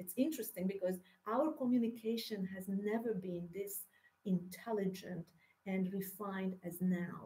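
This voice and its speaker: Speaking with a Hungarian accent, a woman has a dark, mellow tone and a medium pitch. Her voice is somewhat breathy, her pace moderate, and her pitch variation ordinary. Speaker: spiritual teacher. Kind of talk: spiritual monologue. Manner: halting.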